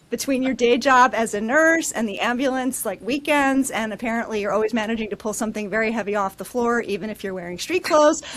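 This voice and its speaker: A woman's fairly high voice at a very fast pace. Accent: American. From Brooklyn, New York. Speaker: podcast host and masters powerlifter. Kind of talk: casual interview chat.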